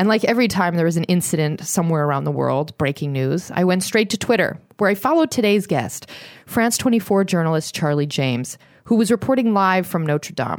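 Against a silent background in a very clean recording, a woman talks at a fairly quick pace. She has a plain, everyday voice, fairly low in pitch, with lively intonation. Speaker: podcast host. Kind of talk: casual interview.

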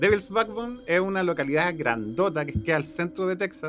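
A man with a Chilean accent speaks at a high pitch. His voice moves in very wide pitch swings. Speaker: podcast host. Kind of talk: casual chat.

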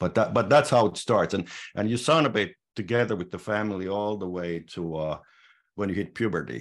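Talking at a fairly quick pace, a man with a Finnish accent uses a fairly low pitch with ordinary pitch variation. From Finland. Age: 60s. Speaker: sauna society president. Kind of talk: interview. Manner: halting.

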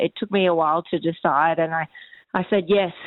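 A woman with an unremarkable speaking voice talks at medium pitch and a moderate pace, with fairly even intonation. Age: 40s. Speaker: comedian. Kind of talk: interview.

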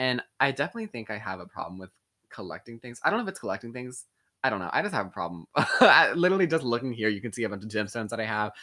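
Talking at a very fast pace, a man with a medium pitch uses a bright, sharp tone and lively intonation. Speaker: podcast guest. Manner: fast talker.

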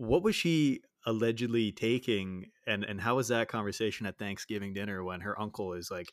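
A man with a Canadian accent and a normal speaking voice talks at a fairly quick pace with hardly any pauses, a fairly low pitch and ordinary pitch variation, on a very clean recording with a silent background. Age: 30s. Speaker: podcast co-host. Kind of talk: casual chat. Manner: casual, chatty.

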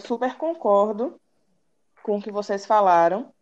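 A woman's medium-pitched voice at a fairly slow pace, with ordinary pitch variation, against a quiet background. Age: 20s. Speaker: university student. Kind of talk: casual chat.

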